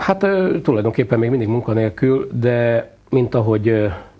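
A man speaks at a fairly slow pace, his voice somewhat breathy, with ordinary pitch variation. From Hungary. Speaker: football coach, former international player; football coach. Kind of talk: TV sports interview. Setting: TV studio. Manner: hesitant, many filler sounds. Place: studio. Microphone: lapel.

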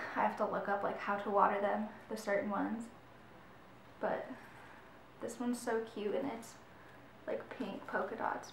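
A woman with an American accent speaks at a moderate pace, leaving long, frequent pauses. Light background noise and audible room echo are present. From Michigan. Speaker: YouTuber. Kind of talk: casual vlog talk. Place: home room. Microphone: camera far.

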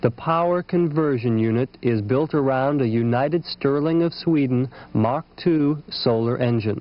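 Speaking at a fairly slow pace, a man uses a dramatic tone at medium pitch with ordinary pitch variation. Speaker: film narrator. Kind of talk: 1980s industrial film narration. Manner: formal, polished, dramatic and measured; authoritative, steady documentary cadence.

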